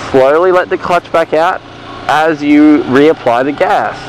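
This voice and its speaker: A man speaks at a fairly high pitch over noticeable background noise. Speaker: motorcycle riding instructor. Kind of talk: tutorial. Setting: riding a motorcycle in a car park.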